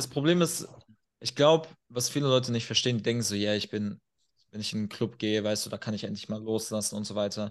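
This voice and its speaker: A man talks very fast at a medium pitch. His pitch varies in an ordinary way over a quiet background. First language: not German (speaking German). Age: 20s. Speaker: performance and men's coach. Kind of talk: podcast interview. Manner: animated.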